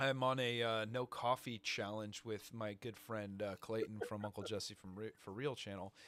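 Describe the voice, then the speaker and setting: A man speaks with a fairly low pitch. He leaves hardly any pauses. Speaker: podcast host, small business owner and maker. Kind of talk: casual chat. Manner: fast; animated.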